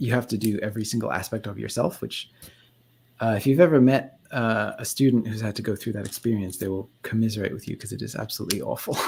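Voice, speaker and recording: A man talks at a very fast pace in a medium pitch with ordinary pitch variation. His voice is somewhat breathy. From England. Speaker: YouTuber, former animator. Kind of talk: casual interview chat. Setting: live stream.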